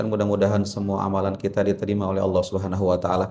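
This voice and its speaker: A man speaks with a fairly low pitch and a dark, mellow tone. His intonation is monotone and flat against a quiet background. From West Java, Garut (Sundanese). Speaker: Islamic preacher. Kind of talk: religious lecture. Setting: prayer hall with audience.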